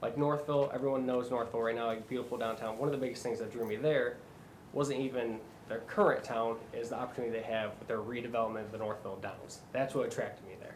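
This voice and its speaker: A man with a Michigan accent talks at a very fast pace, medium pitch and fairly even intonation, amid noticeable background noise and audible room echo. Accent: US Midwest (Michigan). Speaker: job candidate for city administrator. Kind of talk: job interview.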